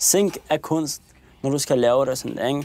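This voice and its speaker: A man's fairly high voice with a dark, mellow tone at a moderate pace. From Copenhagen area, Denmark. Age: 20s. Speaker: young man in documentary. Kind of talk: documentary interview storytelling. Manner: casual, with hesitations.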